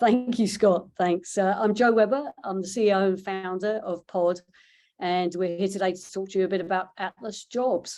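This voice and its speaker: A woman's dark, mellow voice holds a fairly even intonation over a quiet background. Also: medium pitch for a woman, moderate pace. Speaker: startup CEO and founder. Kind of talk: pitch presentation.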